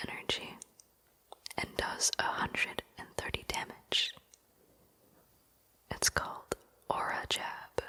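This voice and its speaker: Over noticeable background noise, the whispering moves at a very slow pace. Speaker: ASMR creator. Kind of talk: ASMR whisper talk. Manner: whispered; soft-spoken.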